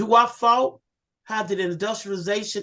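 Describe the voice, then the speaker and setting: This is a woman with an unremarkable speaking voice. Her pitch is medium and her intonation fairly even. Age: 60s. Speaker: environmental activist. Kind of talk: panel discussion. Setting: video call.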